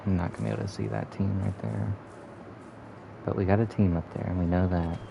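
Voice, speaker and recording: With music in the background, a man talks at a very fast pace in a very deep, low voice. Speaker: gaming streamer. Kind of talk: live gameplay commentary. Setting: live stream. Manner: monotone; casual, profane.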